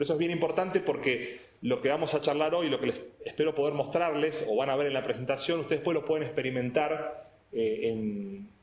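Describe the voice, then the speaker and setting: With noticeable background noise and audible room echo, a man talks at a fairly quick pace in a fairly high voice with lively intonation. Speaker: IT specialist and lecturer. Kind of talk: technical presentation. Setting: videoconference. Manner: fast.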